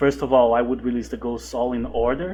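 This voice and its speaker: A man with a non-native accent, at a moderate pace. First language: not English. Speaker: horror movie reviewer. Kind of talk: video essay commentary. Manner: some hesitations and repeated words.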